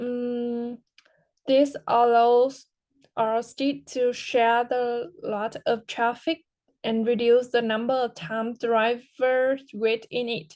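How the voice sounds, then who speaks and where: Against a quiet background, a woman with a high pitch speaks at a very slow pace and with fairly even intonation. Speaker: English language student. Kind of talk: class speaking exercise. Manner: halting.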